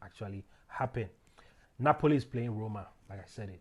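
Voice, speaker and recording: This man talks at a fairly quick pace. His voice is fairly low in pitch and somewhat breathy. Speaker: football betting tipster. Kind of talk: casual solo commentary on football predictions. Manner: fast; halting, many fillers.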